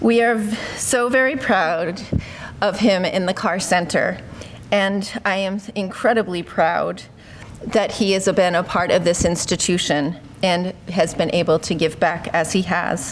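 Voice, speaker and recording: A woman's medium-pitched voice at a fairly slow pace, with ordinary pitch variation. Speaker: university administrator. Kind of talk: ceremony speech. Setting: podium with microphone, live audience. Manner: loud.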